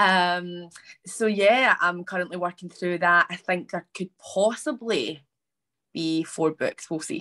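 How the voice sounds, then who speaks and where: Speaking very slowly with a Scottish accent, a woman has a fairly low pitch and a bright, sharp tone, in a dry, close sound with no echo. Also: ordinary pitch variation. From Scotland. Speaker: author. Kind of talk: virtual panel discussion. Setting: video call.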